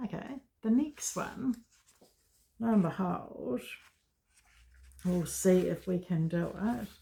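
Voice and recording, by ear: A woman at a slow pace, fairly low in pitch, with a dark, mellow tone, lively intonation, vocal fry and a slightly husky edge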